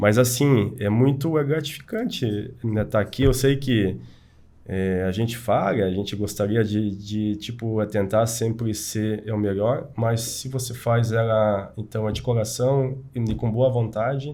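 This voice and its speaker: Amid audible room echo, a man with a medium pitch and dark, mellow tone speaks fairly slowly with fairly even intonation. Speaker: engineering association representative. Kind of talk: casual chat. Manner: halting.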